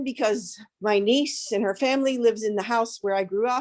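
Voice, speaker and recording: A woman with an American accent talks at a fairly quick pace in a fairly high pitch with ordinary pitch variation, an unremarkable speaking voice. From Pittsburgh, Pennsylvania. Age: 60s. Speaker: community member. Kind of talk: public comment at community meeting.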